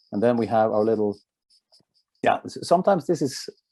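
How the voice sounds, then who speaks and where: Against a quiet background, a man with a Norwegian accent uses lively intonation at a medium pitch, his tone dark and mellow and the sound dry and close with no echo. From Norway. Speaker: company executive presenting a product. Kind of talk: product presentation.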